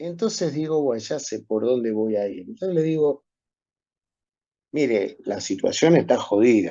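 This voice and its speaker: Speaking in a Rioplatense accent, a man talks at a fairly slow pace with a fairly high pitch. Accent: Argentine Rioplatense Spanish. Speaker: medical professor. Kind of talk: lecture. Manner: animated storytelling.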